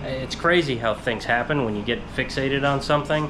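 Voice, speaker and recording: A man speaks at a moderate pace over noticeable background noise. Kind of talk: casual vlog chat. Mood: mildly frustrated, reflective. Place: garage. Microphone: phone near.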